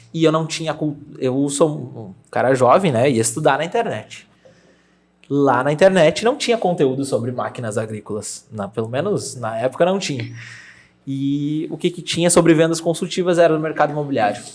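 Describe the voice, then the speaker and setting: With a normal speaking voice, a man talks at a moderate pace in a fairly high pitch and lively intonation. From Brazil, Rio Grande do Sul interior (Júlio de Castilhos). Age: 20s. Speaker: real estate agent. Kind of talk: podcast interview.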